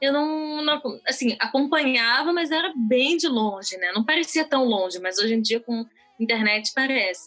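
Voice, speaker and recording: With lively intonation and a high pitch, a woman speaks at a moderate pace over noticeable background noise. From Brazil (born in Israel, moved at about 5-6). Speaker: podcast co-host. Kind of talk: casual chat.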